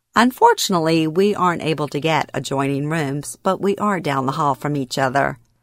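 A woman with a Louisiana accent speaks at a moderate pace in a very deep, low voice with ordinary pitch variation, recorded very cleanly against a silent background with a dry, close sound and no echo. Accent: US Southern (Louisiana). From Louisiana, Baton Rouge area. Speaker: podcast host and author. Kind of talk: narrated personal storytelling.

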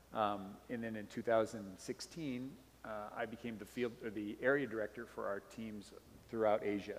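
Speaking at a moderate pace with fairly even intonation, a man with an American accent has an unremarkable speaking voice. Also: medium pitch for a man. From Montana. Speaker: missionary. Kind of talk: sermon.

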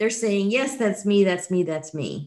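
Over a quiet background, a woman with an American accent speaks at a medium pitch. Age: 60s. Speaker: podcast host. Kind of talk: interview.

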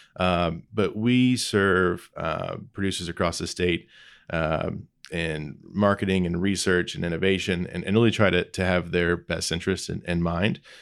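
A man's very deep, low voice with a Midwestern US accent. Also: fairly even intonation, moderate pace, very clean recording, silent background. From Indiana (Lebanon, northwest of Indianapolis). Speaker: agricultural innovation director. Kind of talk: interview conversation. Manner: hesitant, many fillers and repeats.

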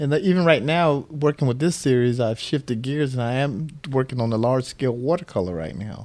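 A man with an American accent, medium in pitch, with a dark, mellow tone. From US South (St. Petersburg, Florida). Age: 50s. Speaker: visual artist and educator. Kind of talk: interview conversation. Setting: home studio.

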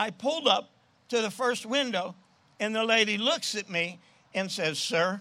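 A man's high-pitched, raised, projected voice with an American accent, bright, sharp tone and lively intonation, on a very clean recording with a silent background. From New Jersey. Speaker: evangelist. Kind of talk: sermon. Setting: outdoors.

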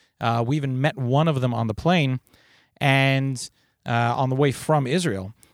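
A man with a plain, everyday voice talks at medium pitch and a moderate pace. The recording is very clean with a silent background, the sound dry and close with no echo. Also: ordinary pitch variation. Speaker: podcast host for volunteer EMS organization. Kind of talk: podcast interview conversation.

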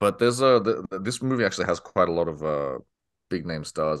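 Over a quiet background, a man with a very deep, low voice speaks at a moderate pace with lively intonation, the sound dry and close with no echo. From Chinese immigrant background. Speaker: film podcast guest. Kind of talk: casual chat.

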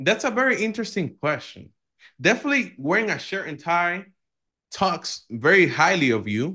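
Very wide pitch swings run through a bright, sharp tone delivered at a moderate pace against a quiet background. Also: man, high pitch for a man. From Dominican Republic. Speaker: software company founder and CEO. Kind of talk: interview.

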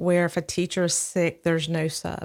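With a Southern US accent, a woman speaks at a fairly slow pace in a fairly low pitch. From Alabama, Birmingham area. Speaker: nonprofit founder. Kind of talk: interview.

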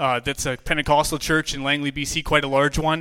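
Fairly high-pitched man with a Western Canadian accent, bright and sharp, monotone and flat, at a fairly quick pace in a very clean recording with a silent background. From British Columbia, Canada. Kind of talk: testimony.

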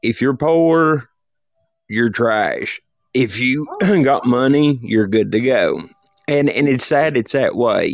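Delivered in a Tennessee accent, the speech moves at a very slow pace with long, frequent pauses. Its loudness stays very even, and its pitch variation is ordinary. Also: man, fairly high pitch for a man. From East Tennessee, Appalachia. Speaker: caller. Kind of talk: casual chat.

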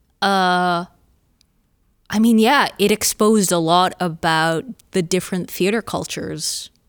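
Recorded very cleanly against a silent background, a woman speaks at a very slow pace with long, frequent pauses, her medium-pitched voice very even in loudness and fairly even in intonation. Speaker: playwright. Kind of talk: interview. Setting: studio.

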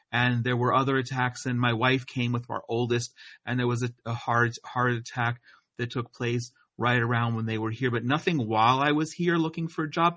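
A man with an American accent uses an ordinary speaking voice at medium pitch, moderate pace and fairly even intonation. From US Northeast, New Jersey. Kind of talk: interview.

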